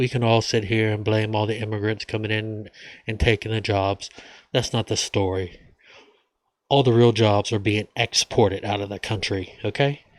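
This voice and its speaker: In an American accent, a man with a fairly low pitch speaks at a moderate pace with monotone, flat intonation, the sound dry and close with no echo on a very clean recording with a silent background. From United States. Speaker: vlogger. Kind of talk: casual monologue.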